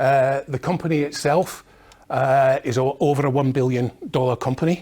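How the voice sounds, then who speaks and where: A man's medium-pitched voice in a Scottish accent, at a fairly slow pace with fairly even intonation, on a very clean recording with a silent background. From Scotland. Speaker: industry technology manager. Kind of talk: conference presentation. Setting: conference seminar with audience. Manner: hesitant, many fillers.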